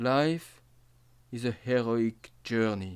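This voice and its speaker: A man with a French accent. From France, Nancy area. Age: 50s. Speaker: astrologer and storyteller. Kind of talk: autobiographical monologue.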